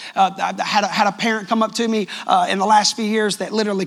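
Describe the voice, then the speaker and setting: An animated tone in a Southern US accent, at a fairly quick pace. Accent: sounds country, Southern US. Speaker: pastor. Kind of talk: sermon. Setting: church. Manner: loud.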